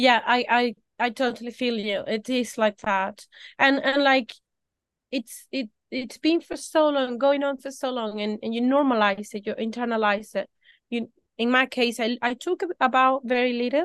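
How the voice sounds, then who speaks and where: Against a quiet background, a woman speaks at a moderate pace in a high pitch with ordinary pitch variation, the sound dry and close with no echo. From tropical country. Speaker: small business owner. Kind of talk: interview. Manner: halting.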